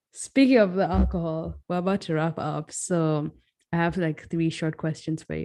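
This woman has a fairly low pitch and a dark, mellow tone. She keeps a moderate pace with fairly even intonation. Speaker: podcast host. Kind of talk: casual chat.

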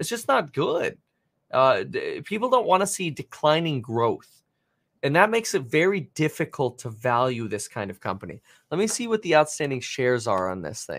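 Very wide pitch swings and vocal fry mark this man's fairly high voice, heard at a moderate pace. The recording is very clean, with a silent background. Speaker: livestream host. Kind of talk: live market commentary stream. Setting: live stream, watching TV clips. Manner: filler-heavy, excitable.

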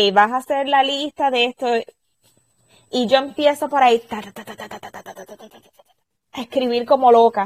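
A woman with a high voice speaks at a fairly slow pace. Her intonation is fairly even, and the sound is dry and close with no echo. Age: 30s. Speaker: craft business owner. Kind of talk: interview.

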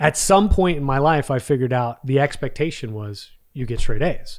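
Recorded very cleanly against a silent background, a man talks at a medium pitch and a fairly quick pace. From Texas. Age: 40s. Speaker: business executive and podcaster. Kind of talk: casual interview chat.

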